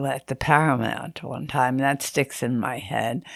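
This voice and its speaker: Her voice carries vocal fry. This woman talks at a moderate speed. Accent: American. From Greenport, Long Island, New York. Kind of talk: oral history interview answer.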